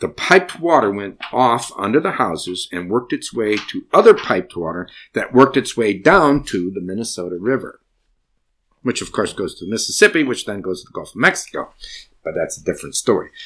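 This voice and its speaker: Big swings in loudness mark this man's speech on a very clean recording with a silent background. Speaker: grandfather storyteller. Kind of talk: storytelling, true personal story told to children. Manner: warm, gentle, unhurried storyteller pacing, playful with kids; animated, interactive, pausing to ask kids questions.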